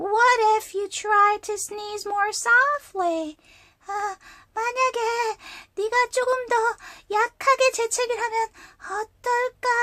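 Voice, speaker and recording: A squeaky, put-on character voice at an extremely high pitch moves at a fairly slow pace with long, frequent pauses, in a very clean recording with a silent background. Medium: read story. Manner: bright, chirpy.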